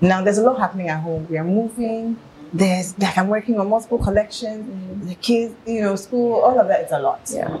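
Amid noticeable background noise, a woman with a fairly high pitch talks at a fairly quick pace with ordinary pitch variation. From Ghana, Accra. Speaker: fashion designer and brand founder. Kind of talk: casual interview chat.

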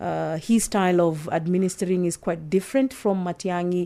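A woman's medium-pitched, dark, mellow voice on a very clean recording with a silent background. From Kenya. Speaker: security reporter. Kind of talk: casual chat.

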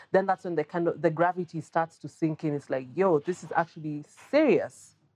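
The speech comes at a fairly quick pace, with music in the background and a dry, close sound with no echo. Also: woman. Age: 40s. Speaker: journalist and content creator. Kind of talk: casual chat.

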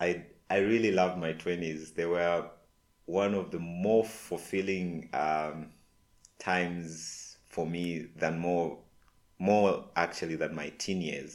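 Very deep and low in pitch, a man talks at a very slow pace with fairly even intonation. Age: 30s. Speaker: podcast host. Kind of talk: personal reflection monologue.

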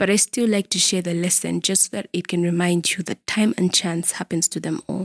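In a very clean recording with a silent background and a dry, close sound with no echo, a woman with an unremarkable speaking voice talks at a medium pitch with fairly even intonation. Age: 20s. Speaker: podcast host, lawyer and academic. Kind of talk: solo podcast monologue, faith-based talk.

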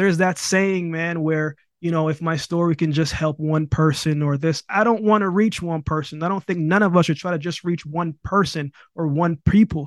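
There is a quiet background as a man speaks in a high voice with fairly even intonation, the sound dry and close with no echo. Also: moderate pace. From Jamaica. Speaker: Olympic sprinter and motivational speaker. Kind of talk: casual interview.

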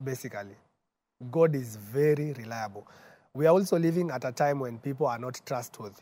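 A man speaks at a moderate pace with a medium pitch and ordinary pitch variation. His tone is dark and mellow. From Kenya, Nairobi. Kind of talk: testimony. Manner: mixes English and Swahili.

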